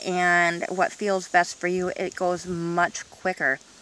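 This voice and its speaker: Speech comes at a fairly slow pace against noticeable background noise. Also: woman. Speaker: vlogger. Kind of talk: casual video monologue. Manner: hesitant, many fillers.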